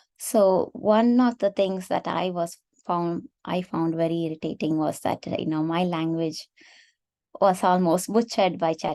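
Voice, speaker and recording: A dark, mellow tone in a Tamil accent, with ordinary pitch variation and a fairly slow pace, over a quiet background. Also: woman. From India, Tamil Nadu. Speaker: AI researcher and affinity group organizer. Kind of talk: webinar presentation.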